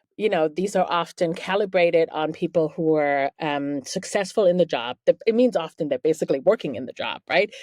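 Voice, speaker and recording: A woman with a German accent speaks at a fairly quick pace, her fairly low voice showing lively intonation. The sound is dry and close with no echo, over a quiet background. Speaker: journalist and author. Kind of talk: interview. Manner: casual, filler-heavy.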